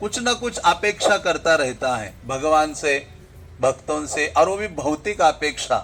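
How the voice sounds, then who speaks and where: A loud man with lively intonation. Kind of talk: religious discourse.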